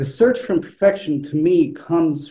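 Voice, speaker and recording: A man speaks at a fairly slow pace with a dark, mellow tone and a somewhat breathy quality. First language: not English. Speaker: flutist. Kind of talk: panel discussion. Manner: hesitant, many fillers.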